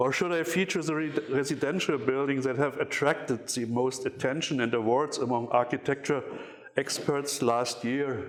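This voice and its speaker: Speaking with a German accent, a man uses a fairly high pitch and fairly even intonation at a moderate pace. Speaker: architecture critic. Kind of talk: lecture. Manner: reading from paper; halting.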